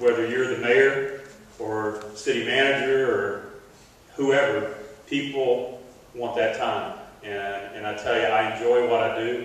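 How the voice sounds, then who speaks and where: A man speaks at a fairly slow pace with fairly even intonation, and the room gives strong echo. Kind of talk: speech. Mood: grateful, slightly emotional. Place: stage.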